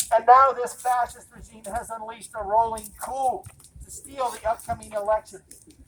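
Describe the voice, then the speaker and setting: Through noticeable background noise, a woman with an American accent speaks at a moderate pace in a fairly high pitch. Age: 70s. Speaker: activist speaker at a rally. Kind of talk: rally speech. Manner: impassioned.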